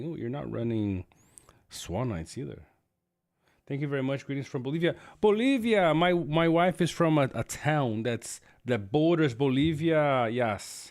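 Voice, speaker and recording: A man's animated, fairly high voice with lively intonation at a moderate pace. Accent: Spanish. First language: Spanish. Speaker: gaming streamer. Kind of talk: live stream gameplay commentary. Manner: casual, animated.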